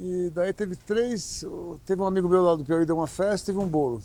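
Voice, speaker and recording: A man's high-pitched voice with a dark, mellow tone at a fairly quick pace. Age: 70s. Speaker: chef and restaurant owner. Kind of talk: interview. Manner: halting.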